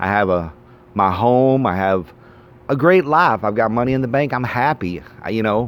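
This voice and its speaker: A man speaks in a plain, everyday voice at a medium pitch. He keeps a moderate pace with lively intonation. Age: 40s. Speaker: vlogger. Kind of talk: casual monologue.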